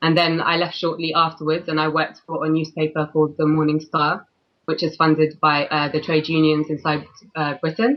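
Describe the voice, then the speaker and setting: A woman's very deep, low voice in a London accent, fairly quick, with monotone, flat intonation. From London, England. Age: 20s. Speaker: freelance journalist. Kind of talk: interview. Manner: halting.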